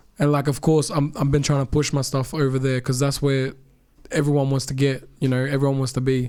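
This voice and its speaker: A man with an American accent speaks at a fairly quick pace and a fairly high pitch, with a dark, mellow tone and monotone, flat intonation. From Australia, Mackay, Queensland. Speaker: rapper. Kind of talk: casual podcast interview.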